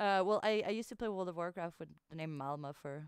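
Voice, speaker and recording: With ordinary pitch variation, a woman talks very fast. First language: French. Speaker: livestreamer. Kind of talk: casual chat. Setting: livestream.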